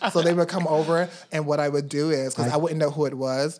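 A man with an American accent at a very fast pace amid noticeable background noise. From US South, Georgia (Augusta). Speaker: drag performer. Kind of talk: casual chat.

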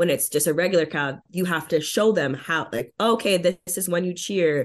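This woman speaks in a Montreal accent with ordinary pitch variation. The background is quiet. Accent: Montreal anglophone Canadian English. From Montreal, Quebec (anglophone). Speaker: professional wrestler. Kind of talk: interview.

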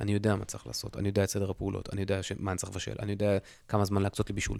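In a very clean recording with a silent background, a man with a fairly low pitch talks at a very fast pace. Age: 40s. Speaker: podcast host. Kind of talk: solo podcast monologue. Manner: casual, halting with fillers.

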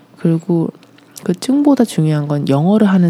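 Fairly slow delivery against noticeable background noise. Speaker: former ballet dancer and performer. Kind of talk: interview about personal life.

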